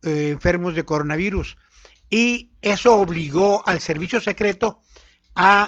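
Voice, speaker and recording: Speaking fairly slowly, this man has a high-pitched voice. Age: 70s. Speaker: radio panelist. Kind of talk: political commentary on radio.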